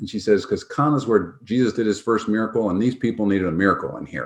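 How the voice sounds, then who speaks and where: Against a quiet background, a man at medium pitch talks with an upstate New York accent. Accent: American (upstate New York). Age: 60s. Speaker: physician and health tech founder. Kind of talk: interview storytelling. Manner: casual, halting with fillers.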